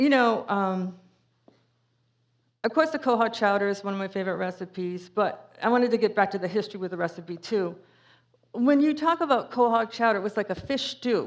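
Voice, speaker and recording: In a strong New England accent, a woman with a medium pitch speaks at a fairly quick pace with lively intonation against a quiet background. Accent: thick New England. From Cape Cod, Massachusetts. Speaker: author and speaker. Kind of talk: public talk with Q&A. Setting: museum talk with audience. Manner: casual, with many fillers.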